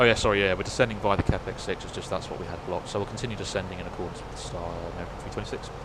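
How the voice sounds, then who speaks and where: A man with a British accent and fairly low pitch talks very fast, with hardly any pauses and fairly even intonation. His loudness swings widely, with audible room echo and noticeable background noise. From United Kingdom. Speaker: flight sim streamer and trained airline pilot. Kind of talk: casual live-stream commentary with radio calls.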